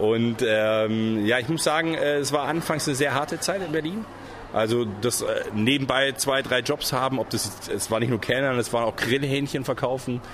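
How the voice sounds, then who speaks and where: There is noticeable background noise as a man speaks. His loudness stays very even, with ordinary pitch variation. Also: medium pitch for a man, moderate pace. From Swabia (Reutlingen), Germany. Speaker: soap opera actor. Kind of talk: interview.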